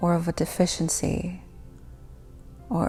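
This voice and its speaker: A woman speaks with music in the background. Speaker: guided meditation host. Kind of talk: guided meditation. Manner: soothing, whispery.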